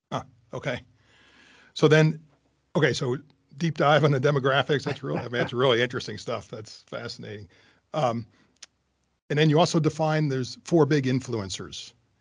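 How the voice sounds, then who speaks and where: Against a quiet background, a somewhat breathy man speaks at a fairly high pitch and moderate pace, with ordinary pitch variation and long, frequent pauses. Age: 50s. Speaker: podcast host. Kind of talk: interview.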